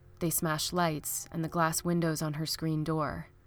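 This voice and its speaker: A woman talks at a moderate pace in a fairly low pitch with flat, monotone intonation. Music plays in the background. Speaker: true crime podcast narrator. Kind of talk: scripted true-crime narration, read aloud with a dramatic story-like tone.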